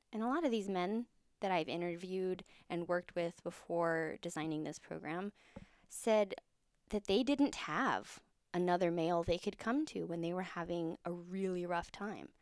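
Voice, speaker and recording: A woman speaks in an ordinary speaking voice with a fairly low pitch. Her pace is moderate, with ordinary pitch variation. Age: 30s. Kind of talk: casual interview.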